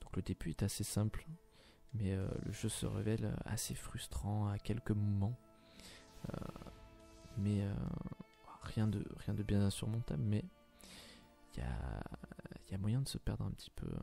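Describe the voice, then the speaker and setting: Music plays in the background as a soft-spoken man whispers. He goes at a fairly slow pace with long, frequent pauses. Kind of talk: ASMR gameplay commentary. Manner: whispered, soft-spoken.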